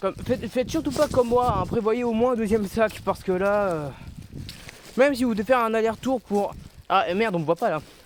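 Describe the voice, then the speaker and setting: A man speaks loudly in a high pitch, with ordinary pitch variation. He leaves long, frequent pauses. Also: fairly quick pace. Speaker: vlogger picking up litter. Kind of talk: casual vlog monologue. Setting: outdoors in nature.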